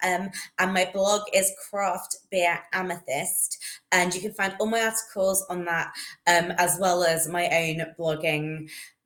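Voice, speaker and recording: A woman with a London accent, medium pitch, fairly slow pace and flat, monotone intonation. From London, England. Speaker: beer writer. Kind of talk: casual interview.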